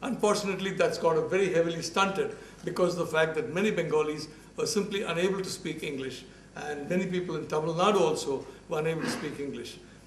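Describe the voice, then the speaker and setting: Talking very fast in a high pitch, a man with a Bombay accent is heard with audible room echo and noticeable background noise. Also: fairly even intonation. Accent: Bombay Indian English accent, can't shake it. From India (Bombay). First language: Malayalam. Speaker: professor. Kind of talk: lecture. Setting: university talk with audience. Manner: halting, with false starts and fillers.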